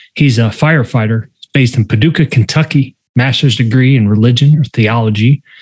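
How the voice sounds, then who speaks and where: A man's medium-pitched, somewhat breathy voice, dry and close with no echo, on a very clean recording with a silent background. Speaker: podcast host and psychology expert. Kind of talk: casual interview conversation.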